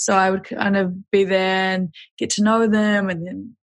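With a New Zealand accent, a woman speaks at medium pitch and a fairly slow pace, somewhat breathy and monotone, the sound dry and close with no echo. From New Zealand, West Auckland. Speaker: hiker and filmmaker. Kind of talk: casual chat. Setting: remote call.

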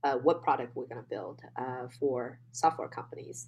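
This woman has a Chinese accent. She speaks at a moderate pace. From China. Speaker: real estate investor guest.

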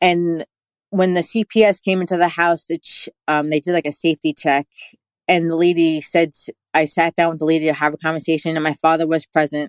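Over a quiet background, a woman with a New York accent speaks at a fairly low pitch in a monotone, flat intonation. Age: 40s. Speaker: spiritual practitioner, toe reader. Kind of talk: interview, personal testimony.

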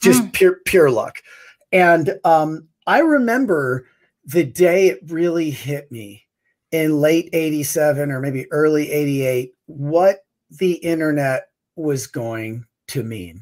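A man with a fairly high pitch talks at a very slow pace. His intonation is lively, and his loudness swings widely. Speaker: guest. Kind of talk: casual chat.

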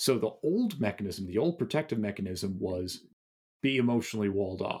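With an ordinary speaking voice, a man talks at a moderate pace and medium pitch, his intonation lively, on a very clean recording with a silent background. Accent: American. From US Northeast (Massachusetts suburb). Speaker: author and meditation teacher. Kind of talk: interview.

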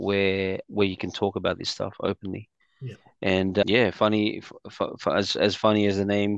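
In an Australian accent, a man speaks at a fairly low pitch and moderate pace in a monotone, flat intonation, the sound dry and close with no echo over a quiet background. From Australia (Sydney, migrated from the Philippines as a child). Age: 40s. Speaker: entrepreneur, community event organiser. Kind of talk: casual interview chat.

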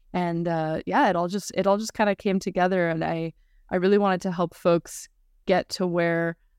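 An unremarkable speaking voice, a woman's at fairly low pitch, with an American accent, at a moderate pace and with fairly even intonation, on a very clean recording with a silent background and a dry, close sound with no echo. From California, US. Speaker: sex therapist and podcaster. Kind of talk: interview conversation.

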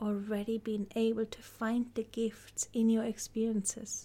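In a somewhat breathy, gentle, calm voice with a dark, mellow tone, a woman with a fairly high pitch speaks at a fairly slow pace in a monotone, flat intonation. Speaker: podcast host and guide. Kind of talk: guided meditation. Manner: slow, calm, soothing; gentle, soft-spoken, with long pauses.

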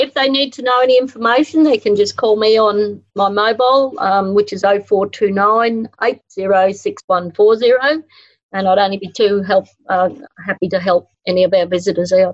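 The speaker has an Australian accent and a fairly slow pace. Pitch variation is ordinary. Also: woman, medium pitch for a woman. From Winton, outback Queensland, Australia. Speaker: festival event coordinator. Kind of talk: interview.

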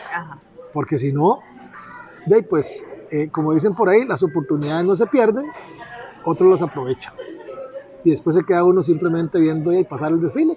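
Amid noticeable background noise, a man talks fairly quickly at a high pitch with ordinary pitch variation and long, frequent pauses. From Costa Rica, southern region. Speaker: podcast host, digital marketing agency. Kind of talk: casual chat. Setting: outside the office, relaxed setting.

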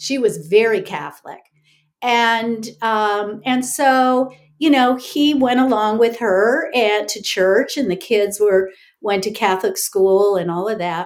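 On a very clean recording with a silent background, a woman speaks very slowly. Her pitch is fairly high, with ordinary variation. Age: 60s. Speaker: author and ministry teacher. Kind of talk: personal testimony in interview.

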